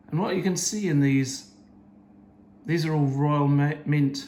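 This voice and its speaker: Audible room echo surrounds speech at a fairly slow pace with ordinary pitch variation. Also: man, long, frequent pauses. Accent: British. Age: 70s. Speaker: coin collector. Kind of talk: show-and-tell talk. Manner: halting.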